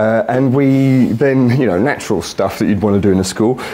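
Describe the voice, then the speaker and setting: A man with a British accent, a fairly quick pace and ordinary pitch variation, over noticeable background noise. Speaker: architect. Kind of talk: conference talk. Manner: fast; loud.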